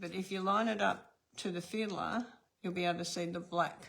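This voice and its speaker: Someone with an Australian accent speaks at a moderate pace with fairly even intonation. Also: woman. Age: old. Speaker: card-making instructor. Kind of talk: tutorial. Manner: casual, chatty.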